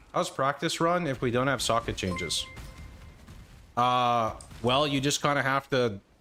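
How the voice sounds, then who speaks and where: A man with an American accent speaks at a fairly slow pace, with ordinary pitch variation and long, frequent pauses. Music plays in the background. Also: very even loudness. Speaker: game streamer. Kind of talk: live stream chat. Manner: casual, halting.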